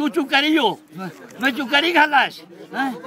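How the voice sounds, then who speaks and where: A man speaks in a raised, projected voice at an extremely high pitch. Noticeable background noise is present. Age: 70s. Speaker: elderly audience member speaking at a conference. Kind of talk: impassioned public speech. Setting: stage at a conference. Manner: animated; halting.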